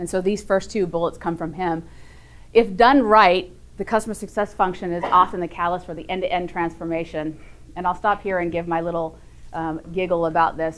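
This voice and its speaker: On a very clean recording with a silent background, a woman speaks at a fairly quick pace. Her fairly low voice keeps fairly even intonation. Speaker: startup workshop teacher and consultant. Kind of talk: lecture. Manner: fast.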